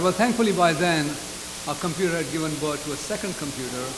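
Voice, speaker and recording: A man at a fairly quick pace with ordinary pitch variation, noticeable background noise and audible room echo. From England. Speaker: speaker at a community reunion. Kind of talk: speech. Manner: fast.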